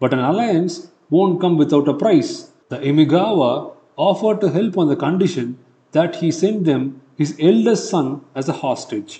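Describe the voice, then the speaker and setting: A man with a Tamil accent uses a dramatic tone, his high-pitched voice dark and mellow in tone. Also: ordinary pitch variation, moderate pace. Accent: Indian English, Tamil-accented. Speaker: history podcast narrator. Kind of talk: scripted history documentary narration, storytelling. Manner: dramatic, measured storytelling pace, building suspense; animated, conversational, with rhetorical flourishes.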